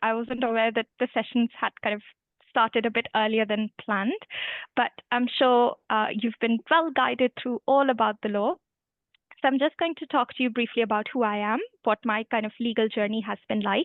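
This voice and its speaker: A woman with an Indian accent speaks at a moderate pace in a fairly high voice, her intonation fairly even. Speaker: human rights lawyer. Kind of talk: career talk to students.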